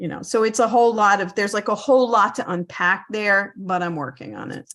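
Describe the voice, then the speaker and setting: A woman talks at a fairly quick pace in a medium pitch with ordinary variation and vocal fry. Her loudness swings widely. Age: 60s. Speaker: reseller on a mentorship call. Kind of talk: casual chat.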